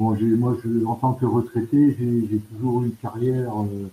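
A man's dark, mellow, somewhat breathy voice at a very slow pace. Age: 60s. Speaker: volunteer, retired banker. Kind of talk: radio interview. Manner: halting.

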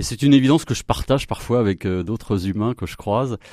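A man talks at a fairly quick pace with a dark, mellow tone. The recording is very clean, with a silent background. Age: 50s. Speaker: environmental activist. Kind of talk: radio interview. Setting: studio. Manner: halting.

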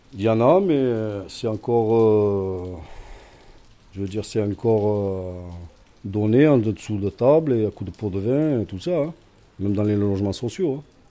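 A man's fairly low, dark, mellow voice at a fairly slow pace, with long, frequent pauses and ordinary pitch variation. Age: 50s. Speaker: shelter resident. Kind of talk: interview.

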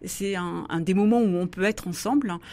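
A woman speaks with ordinary pitch variation. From southwest France, Béarn. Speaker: philosopher and author. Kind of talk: radio interview. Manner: hesitant, many fillers and repetitions.

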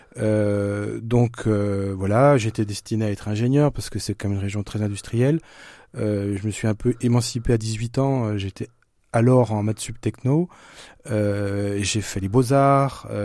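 The voice has a dark, mellow tone and fairly even intonation, moving at a very slow pace. The recording is very clean, with a silent background. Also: man, fairly low pitch for a man. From eastern France (Franche-Comté). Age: 50s. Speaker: author and screenwriter. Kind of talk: interview.

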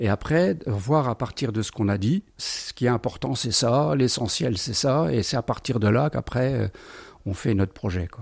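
The speaker talks at a fairly slow pace with lively intonation and vocal fry. The recording is very clean, with a silent background. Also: man, medium pitch for a man. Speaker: retiree, shared housing resident. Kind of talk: interview at home.

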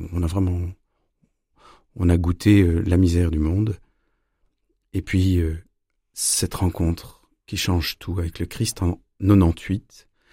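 The voice has a dark, mellow tone and is somewhat breathy. It moves very slowly in a monotone, flat intonation with long, frequent pauses. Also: man, very deep, low pitch for a man, very clean recording, silent background. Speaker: violinist and storyteller. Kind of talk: interview.

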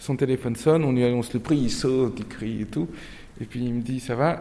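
The speaker has a Turkish accent and a dark, mellow tone. Pitch variation is ordinary. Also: man. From Nantes, western France. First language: Turkish (speaking French). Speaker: novelist. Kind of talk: interview with inmates.

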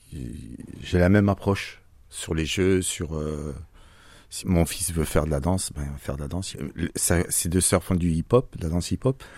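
Speaking at a fairly slow pace, a man uses a very deep, low pitch with ordinary pitch variation. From Franche-Comté, eastern France. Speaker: father. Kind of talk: interview. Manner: halting.

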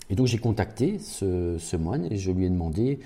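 Somewhat breathy and dark, mellow in tone, a man talks with lively intonation at a very deep, low pitch. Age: 50s. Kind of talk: radio interview. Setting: parish house. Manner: hesitant, many repeated words.

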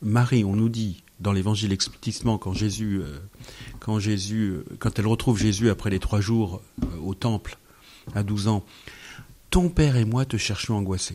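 A man with a dark, mellow tone and fairly low pitch, at a fairly slow pace, with long, frequent pauses and ordinary pitch variation. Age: 50s. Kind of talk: radio interview. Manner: halting.

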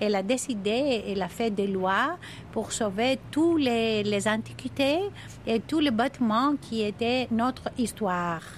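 A woman with a Greek accent speaks very slowly in a fairly high, somewhat breathy voice. Her pitch varies in an ordinary way while her loudness stays very even. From Crete, Greece. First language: Greek (speaking French). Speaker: deputy mayor for tourism. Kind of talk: interview. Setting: outdoors. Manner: halting.

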